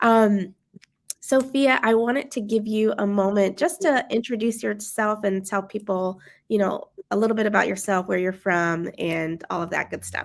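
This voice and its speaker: This is a woman with an ordinary speaking voice at a medium pitch. Her pitch varies in an ordinary way, and she talks at a moderate pace. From Maryland, Prince George's County. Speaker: education company founder. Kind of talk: casual discussion livestream.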